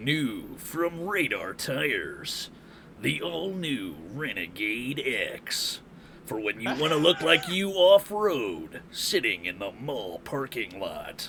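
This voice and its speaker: In a put-on character voice, a man speaks at a very slow pace with a dramatic tone and fairly high pitch. Clear background noise sits behind him. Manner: ad voiceover, dramatic.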